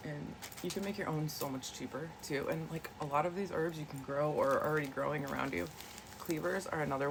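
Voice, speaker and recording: Speaking at a very fast pace against noticeable background noise, a woman with a very deep, low pitch shows ordinary pitch variation. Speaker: wellness vlogger. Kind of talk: casual chat. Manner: soft-spoken; hesitant, many fillers.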